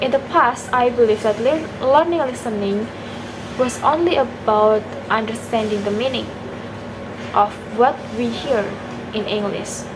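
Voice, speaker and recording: A woman with a non-native accent speaks at a moderate pace in a fairly high voice with ordinary pitch variation. Her speech has long, frequent pauses, and there is noticeable background noise. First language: not English. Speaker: university student. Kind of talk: exam video reflection. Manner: halting, self-correcting.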